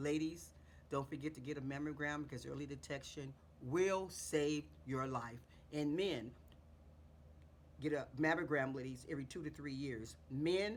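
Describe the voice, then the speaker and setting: With audible room echo, the speaker uses vocal fry at a moderate pace, with ordinary pitch variation and long, frequent pauses. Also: woman, very deep, low pitch for a woman. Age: 60s. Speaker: beauty vlogger. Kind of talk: tutorial. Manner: casual, repetitive.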